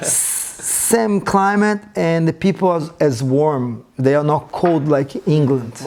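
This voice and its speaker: A man speaks at a very slow pace with a Brazilian accent and fairly high pitch, leaving hardly any pauses. His intonation is lively and his loudness stays very even. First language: Portuguese. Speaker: breaking teacher and studio owner. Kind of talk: podcast interview answer.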